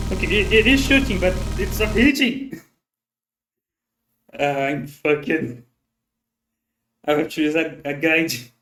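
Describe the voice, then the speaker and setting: A man speaks slowly-ish with long, frequent pauses, his fairly high voice bright and sharp with vocal fry. His pitch swings very widely. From Brazil. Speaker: vtuber streamer. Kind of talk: gaming livestream commentary. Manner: halting.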